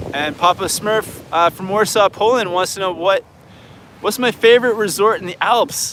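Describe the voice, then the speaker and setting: A man with a Canadian accent speaks at a moderate pace in a high pitch with ordinary pitch variation. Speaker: snowboard instructor and video creator. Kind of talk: live Q&A stream. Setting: outdoors at a beach. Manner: casual, halting with many restarts.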